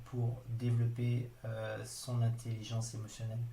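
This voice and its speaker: Somewhat breathy, a man speaks at a medium pitch in a dark, mellow tone, with audible room echo. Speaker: trainer. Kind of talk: online training lecture. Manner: hesitant, many fillers.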